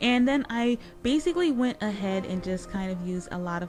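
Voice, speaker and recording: The speaker keeps to a moderate pace. Music plays in the background. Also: woman. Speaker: Sims gaming youtuber. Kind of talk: casual gameplay voice-over. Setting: home recording, gaming headset mic.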